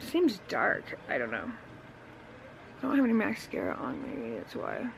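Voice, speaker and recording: With noticeable background noise behind it, the voice moves along at a moderate pace. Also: woman. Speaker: vlogger. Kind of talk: casual chat. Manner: loud.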